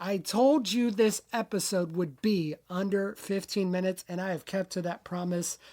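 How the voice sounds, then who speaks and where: In a very clean recording with a silent background, a woman talks at a moderate pace with a medium pitch. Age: 40s. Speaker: podcast host. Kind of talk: solo podcast monologue. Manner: loud.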